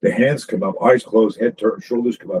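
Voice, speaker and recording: In a dry, close sound with no echo, a man talks at a medium pitch with very wide pitch swings. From Canada. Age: 60s. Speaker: self-defense instructor. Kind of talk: podcast interview. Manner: animated.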